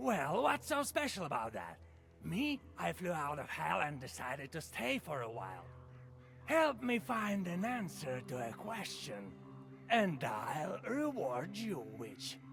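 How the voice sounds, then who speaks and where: A man's put-on character voice at a fairly slow pace, over clear background noise. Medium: video game.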